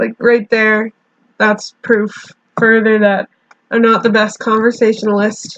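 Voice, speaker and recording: The speaker is a woman with a quiet voice. Her intonation is monotone and flat. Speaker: YouTuber drawing and chatting. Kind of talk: casual monologue while drawing. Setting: alone in bedroom. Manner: halting.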